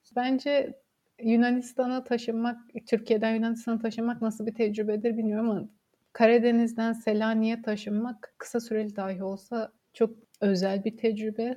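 Speaking at a moderate pace, a woman has a dark, mellow tone, a fairly high pitch, a somewhat breathy quality and monotone, flat intonation. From Samsun, Turkey. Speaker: history graduate researcher. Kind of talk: casual interview.

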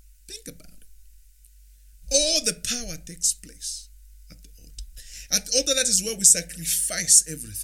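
A man speaks with long, frequent pauses and big swings in loudness. Noticeable background noise runs underneath. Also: moderate pace. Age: 40s. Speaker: podcast host, relationship coach. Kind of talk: motivational monologue. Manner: repetitive, hesitant fillers.

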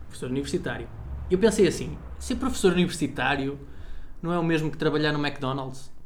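Audible room echo surrounds this recording. A man with a fairly high pitch talks at a very fast pace. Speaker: podcast co-host. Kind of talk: casual chat.

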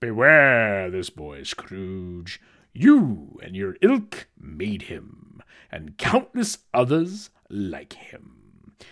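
Using a put-on character voice, a man speaks at a very slow pace with a fairly low pitch. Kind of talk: dramatic audio-drama reading. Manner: hearty, expansive, then stern.

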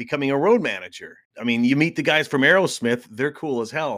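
A man with a plain, everyday voice talks at a moderate pace with lively intonation. The recording is very clean, with a silent background. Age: 50s. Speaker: podcast co-host. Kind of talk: casual chat.

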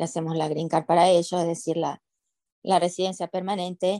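A woman's voice at a moderate pace, with a dry, close sound and no echo. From Argentina, Paraná (Entre Ríos). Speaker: immigration lawyer. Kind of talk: interview.

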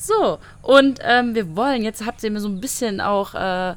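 In an unremarkable speaking voice, a woman talks at a fairly high pitch with ordinary pitch variation. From Saarland, Germany. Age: 20s. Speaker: travel blogger. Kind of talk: casual chat. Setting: outdoors.

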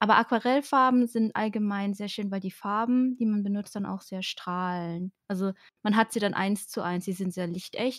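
A woman with an unremarkable speaking voice, medium pitch, fairly even intonation and moderate pace, dry and close with no echo, on a very clean recording with a silent background. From Germany, Baden-Württemberg. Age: 20s. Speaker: artist and streamer. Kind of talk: casual interview.

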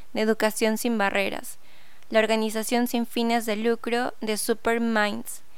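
A woman with a fairly high pitch talks at a fairly slow pace in a monotone, flat intonation. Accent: Peruvian. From Peru. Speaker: podcast host and teacher. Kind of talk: podcast intro monologue.

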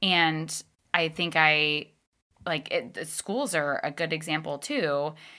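Speaking at a very slow pace in a very clean recording with a silent background, a woman uses a bright, sharp tone at a very deep, low pitch. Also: ordinary pitch variation. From Northern Virginia. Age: 30s. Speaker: podcaster. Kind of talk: casual chat.

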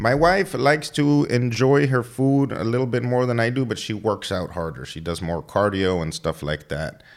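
Speaking with an American accent, a man talks at a moderate pace and medium pitch, with very wide pitch swings and hardly any pauses. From Texas, Laredo. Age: 30s. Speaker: fitness trainer. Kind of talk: casual chat.

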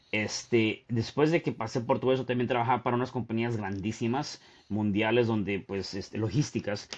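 A man speaks at a moderate pace with a medium pitch. He has an ordinary speaking voice and fairly even intonation. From Mexico City. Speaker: author and motivational speaker. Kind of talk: casual interview.

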